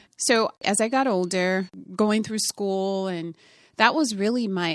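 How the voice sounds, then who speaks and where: In a very clean recording with a silent background and a dry, close sound with no echo, a woman speaks fairly slowly with ordinary pitch variation. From Minnesota (Twin Cities), from age ten; born in Indiana. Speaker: tech founder. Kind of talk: interview. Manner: halting.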